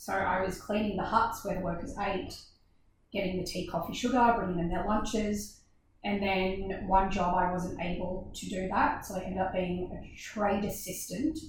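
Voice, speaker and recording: A woman with an Australian accent at a medium pitch, moderate pace and fairly even intonation, with noticeable background noise and audible room echo. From Australia, Gold Coast. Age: 30s. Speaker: dance business owner. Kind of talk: casual chat.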